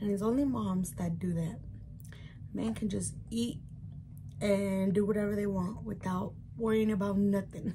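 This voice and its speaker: A woman with an American accent, somewhat breathy and dark, mellow in tone, at a moderate pace with long, frequent pauses and ordinary pitch variation, over light background noise. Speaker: YouTuber, mom; YouTuber. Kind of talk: mukbang vlog, casual eating chat. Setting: at home. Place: home room. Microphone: phone near.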